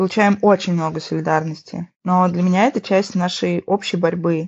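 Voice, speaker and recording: Using an ordinary speaking voice, a woman at a medium pitch keeps fairly even intonation and a moderate pace. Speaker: artist and activist. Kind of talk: panel discussion, re-voiced.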